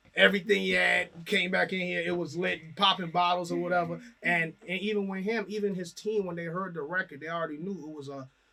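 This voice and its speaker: Against noticeable background noise, a high-pitched man speaks very fast with fairly even intonation and hardly any pauses. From Trinidad and Tobago. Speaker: rapper. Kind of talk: casual interview.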